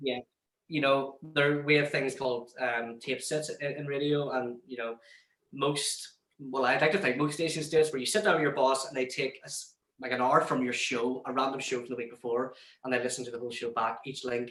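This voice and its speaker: Here a man speaks in a Northern Irish accent at a medium pitch. His pace is fairly quick and his intonation fairly even. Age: 20s. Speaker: radio presenter. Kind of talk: interview.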